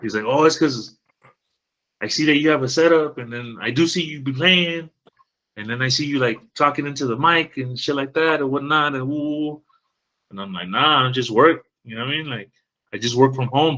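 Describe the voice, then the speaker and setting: A man's fairly high voice at a fairly quick pace, with ordinary pitch variation, big swings in loudness and long, frequent pauses. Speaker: podcast host, trucking industry worker. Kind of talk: casual chat.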